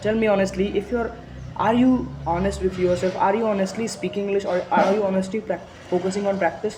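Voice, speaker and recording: The speaker has an Indian accent and talks at a fairly quick pace. Noticeable background noise runs under the voice. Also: man, high pitch for a man. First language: Hindi. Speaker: motivational speaker. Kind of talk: motivational talk. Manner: halting, with frequent restarts; emphatic.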